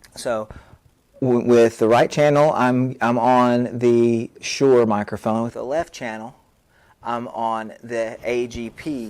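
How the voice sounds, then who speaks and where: Quiet and at a very slow pace, a man speaks at a medium pitch with fairly even intonation. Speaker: literature teacher and video blogger. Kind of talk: tech tutorial, unboxing and mic test. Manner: talking quietly to test levels; halting, many fillers and restarts.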